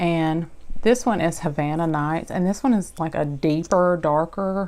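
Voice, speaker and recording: At a fairly slow pace, a woman with an American accent speaks in a fairly low pitch. The recording is very clean, with a silent background. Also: ordinary pitch variation. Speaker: beauty vlogger. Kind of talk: product haul review. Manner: casual, chatty.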